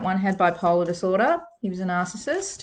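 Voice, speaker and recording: A woman talks with an Australian accent. Her pitch is fairly low, and the background is quiet. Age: 60s. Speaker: psychic reader. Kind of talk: live stream card reading. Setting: live video stream. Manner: warm, conversational.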